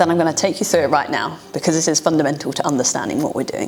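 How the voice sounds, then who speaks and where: A woman with a British accent speaks at a very fast pace amid noticeable background noise. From UK. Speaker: data science educator. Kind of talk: tutorial; casual storytelling.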